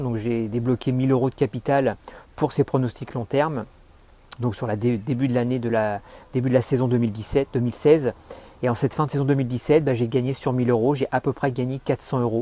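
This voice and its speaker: Speaking at a fairly quick pace, a man uses a dark, mellow tone with a medium pitch and fairly even intonation. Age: 40s. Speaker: customer giving a testimonial. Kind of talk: testimony. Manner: halting, many fillers.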